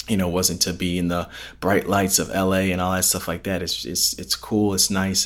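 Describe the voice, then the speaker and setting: With an American accent, the voice moves along at a fairly quick clip. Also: man, very clean recording, silent background. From Chicago suburbs, Illinois. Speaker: podcast host. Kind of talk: personal reflection. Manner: halting, many fillers and repetitions.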